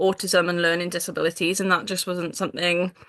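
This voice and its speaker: Against a quiet background, a woman with a Welsh accent speaks at a medium pitch in a bright, sharp tone. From Wales. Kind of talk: casual interview chat. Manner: many fillers (um, like, yeah).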